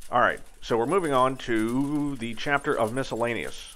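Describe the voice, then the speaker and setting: This man talks at a fairly slow pace, keeping his intonation fairly even. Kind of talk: tutorial. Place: workshop.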